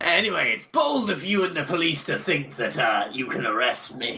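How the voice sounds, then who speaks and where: A man's put-on character voice, fairly high and at a moderate pace, over clear background noise. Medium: audio drama. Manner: grandiose, cheerfully menacing.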